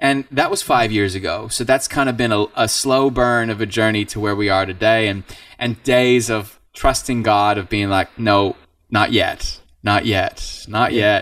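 An ordinary speaking voice in an American accent moves at a fairly slow pace with fairly even intonation and big swings in loudness, on a very clean recording with a silent background. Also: man, medium pitch for a man. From Idaho, US (born Southern California). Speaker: worship band frontman. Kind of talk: casual interview.

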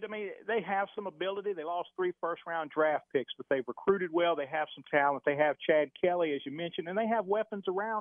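With hardly any pauses, the words come at a fairly quick pace. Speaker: sports beat reporter. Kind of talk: radio interview about sports.

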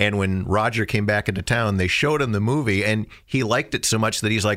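At a fairly quick pace, a man with a fairly low pitch speaks with ordinary pitch variation in an ordinary speaking voice. The recording is very clean, with a silent background. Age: 50s. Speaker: radio DJ co-hosting a B-movie review show. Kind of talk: casual chat.

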